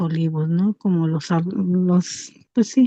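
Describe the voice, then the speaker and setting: Over a quiet background, a woman with a dark, mellow tone speaks with fairly even intonation, the sound dry and close with no echo. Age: 60s. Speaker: class participant. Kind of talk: comment in class discussion. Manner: halting.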